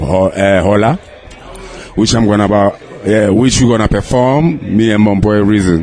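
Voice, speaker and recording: Over noticeable background noise, a man speaks at a fairly slow pace and a fairly low pitch. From South Africa, Sebokeng. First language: Zulu or Sotho. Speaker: rapper. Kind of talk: interview.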